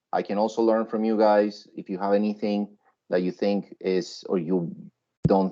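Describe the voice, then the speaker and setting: A man speaks in a dark, mellow tone at a fairly slow pace. The background is quiet. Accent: Spanish. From Colombia. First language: Spanish. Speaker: web and UX designer, teacher. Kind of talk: workshop presentation. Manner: conversational, with many fillers.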